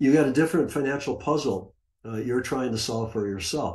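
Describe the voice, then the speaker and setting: This man's voice is somewhat breathy, with ordinary pitch variation. The background is quiet. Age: 70s. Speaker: retired trader and former money manager; conference presenter. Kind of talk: conference presentation. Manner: casual, with many fillers. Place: home room. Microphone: webcam.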